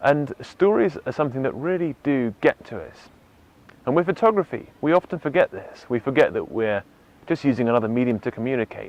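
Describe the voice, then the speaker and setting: A man with an English accent talks at a fairly quick pace and a fairly high pitch, with lively intonation and big swings in loudness, in a dry, close sound with no echo over a quiet background. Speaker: photographer. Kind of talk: storytelling; tutorial.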